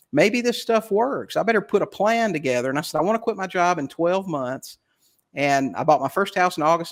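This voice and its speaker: With lively intonation, a man talks fairly quickly on a very clean recording over a silent background. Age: 60s. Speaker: real estate investor. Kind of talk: interview. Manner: halting.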